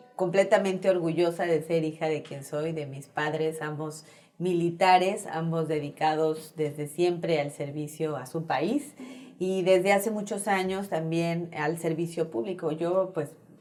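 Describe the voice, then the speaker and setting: A woman with a Mexican accent speaks at a fairly low pitch in a dark, mellow tone, with fairly even intonation and big swings in loudness. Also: fairly slow pace. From Mexico, Chetumal and Mexico City. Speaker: politician, gubernatorial candidate. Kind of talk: interview.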